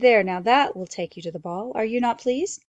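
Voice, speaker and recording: A woman does a put-on character voice at a fairly high pitch and a fairly quick pace. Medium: read story. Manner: warm, gentle.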